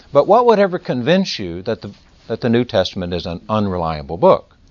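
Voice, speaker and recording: A man with a Texas accent talks at a moderate pace and medium pitch, his voice swinging very widely in pitch. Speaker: lecturer or adult class teacher. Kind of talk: lecture.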